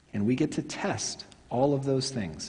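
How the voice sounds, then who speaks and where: The voice has an American accent and a dark, mellow tone. It sounds somewhat breathy, with lively intonation. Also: man. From Oklahoma, Tulsa. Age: 40s. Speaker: pastor. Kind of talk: sermon. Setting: church.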